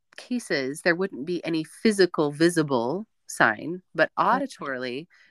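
An ordinary speaking voice with lively intonation, dry and close with no echo, on a very clean recording over a silent background. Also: woman. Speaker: voice pathologist and speaker. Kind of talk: casual interview chat.

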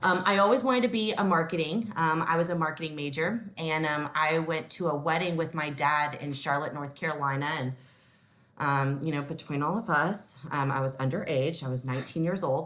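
With audible room echo around her, a woman speaks at a moderate pace with an American accent and a very deep, low pitch. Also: ordinary pitch variation. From Texas, Houston. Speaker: regional sales director. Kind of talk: casual interview. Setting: at home, remote call.

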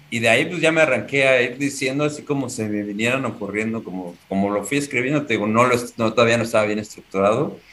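A man speaks at a medium pitch with ordinary pitch variation. Noticeable background noise sits behind him. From Mexico City. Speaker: aspiring stand-up comedian. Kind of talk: casual chat.

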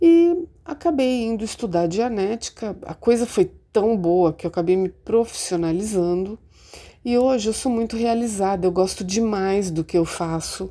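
A woman with a dark, mellow tone at medium pitch, lively intonation and a moderate pace, in a very clean recording with a silent background. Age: 50s. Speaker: Dianetics practitioner. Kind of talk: testimony.

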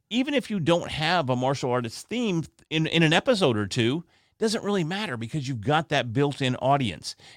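Lively in intonation, a man with a normal speaking voice talks at a moderate pace. The recording is very clean and silent behind him, dry and close with no echo. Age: 40s. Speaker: podcaster and martial artist. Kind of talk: casual interview. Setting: home podcast studio.

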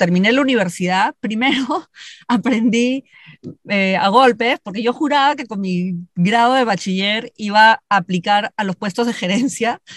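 A woman with a fairly high pitch and a normal speaking voice, ordinary pitch variation, a dry, close sound with no echo and a quiet background. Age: 50s. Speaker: leadership consultant and speaker. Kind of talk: interview.

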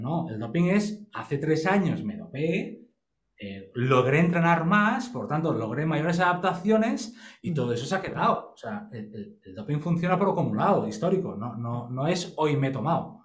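A man speaks at a moderate pace with a fairly high pitch. His pitch swings very widely, and room echo is audible. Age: 40s. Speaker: sports biomechanics expert. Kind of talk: casual interview.

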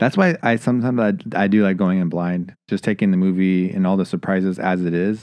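This is an unremarkable speaking voice, with a moderate pace and ordinary pitch variation. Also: man. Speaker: podcast host. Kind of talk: casual movie review chat.

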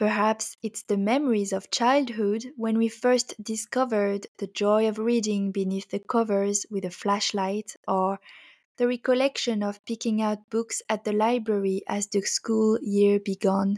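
A woman with a French accent at a fairly high pitch, fairly slow and monotone with flat intonation, in a dry, close sound with no echo and a very clean recording with a silent background. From France. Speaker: book podcast host. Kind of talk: scripted narration.

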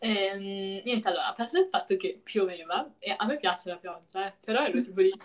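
An unremarkable speaking voice with ordinary pitch variation. It moves at a fairly quick pace with hardly any pauses. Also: woman, medium pitch for a woman. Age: young. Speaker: podcast co-host. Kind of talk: casual chat. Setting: call.

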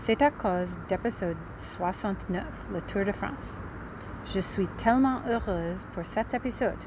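Here a woman speaks with an English accent. Her pace is very slow. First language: English (speaking French). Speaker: podcast listener. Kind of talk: recorded voice message.

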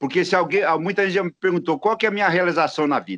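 This man's pitch is fairly high. Vocal fry runs through his speech. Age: 70s. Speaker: design entrepreneur and professor. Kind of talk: interview.

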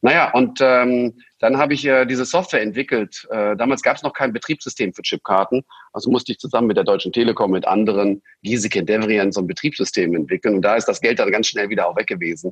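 A man's lively, rising-and-falling voice at a very fast clip, dry and close with no echo. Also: medium pitch for a man. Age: 50s. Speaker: entrepreneur and investor. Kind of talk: interview. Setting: remote recording. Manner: hesitant fillers.

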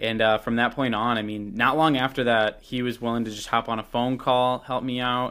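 A man's medium-pitched voice in a Chicago accent, at a moderate pace with hardly any pauses. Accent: Chicago-area American. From Chicago suburbs, US Midwest. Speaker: YouTube glove reviewer. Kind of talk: casual interview. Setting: remote call. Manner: animated.

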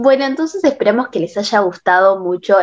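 A woman speaks at a fairly quick pace in a Rioplatense accent with ordinary pitch variation. The background is quiet. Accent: Argentine Rioplatense Spanish. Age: young. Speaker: podcast host. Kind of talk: casual chat.

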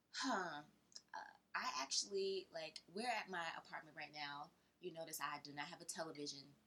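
A woman speaks with an American accent in a bright, sharp tone. Her pitch varies in an ordinary way. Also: fairly low pitch for a woman, moderate pace. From US South, Georgia. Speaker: interior designer. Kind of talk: casual interview. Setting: in person, at her apartment.

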